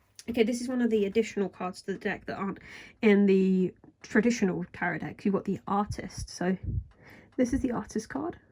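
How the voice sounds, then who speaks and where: Fairly quick in pace, a woman speaks with a medium pitch and ordinary pitch variation. Her tone is dark and mellow, and somewhat breathy. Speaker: tarot reader. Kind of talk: casual deck review talk to camera. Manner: soft ASMR-style talking.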